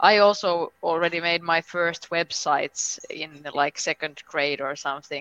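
A woman with a Finnish accent talks with hardly any pauses at a fairly slow pace, her fairly low, bright, sharp voice keeping fairly even intonation in a dry, close sound with no echo. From Finland. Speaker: member of European Parliament. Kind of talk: casual interview.

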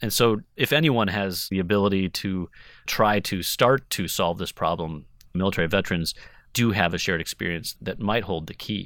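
In a very clean recording with a silent background, a man with an American accent and a plain, everyday voice speaks at a moderate pace, his fairly low pitch showing ordinary variation. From Wisconsin. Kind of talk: interview.

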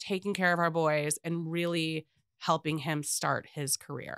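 In a very clean recording with a silent background and a dry, close sound with no echo, a woman with an American accent talks at a moderate pace in a fairly low pitch with a normal speaking voice. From US South, Atlanta, Georgia. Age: 40s. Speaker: real estate agent. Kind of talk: casual chat. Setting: studio.

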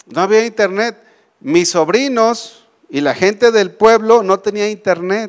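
A man with a high pitch talks fairly slowly, his pitch varying in an ordinary way. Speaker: preacher. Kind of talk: sermon. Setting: church.

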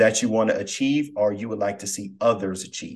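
Here a man talks in a normal speaking voice at a medium pitch. His pace is moderate and his intonation fairly even. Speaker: podcast host. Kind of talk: casual interview chat.

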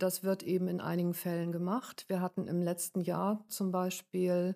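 At a moderate pace, a woman speaks with a medium pitch and a dark, mellow tone. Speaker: domestic violence counselor. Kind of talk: interview.

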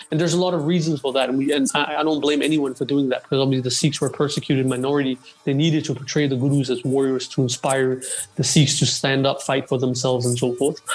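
Over noticeable background noise, a man talks at a very fast pace with monotone, flat intonation and very even loudness. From Denmark. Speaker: Sikh history researcher. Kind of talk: casual interview on history.

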